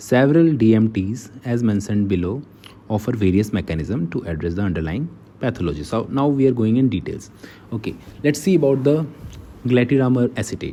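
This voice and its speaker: With an Indian accent, a man speaks at medium pitch, a fairly quick pace and lively intonation. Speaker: medical lecturer. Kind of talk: lecture. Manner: halting.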